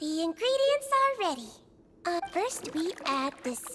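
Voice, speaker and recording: A squeaky, put-on character voice at an extremely high pitch swings very widely in pitch at a fairly slow pace. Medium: video game. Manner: gentle, warm.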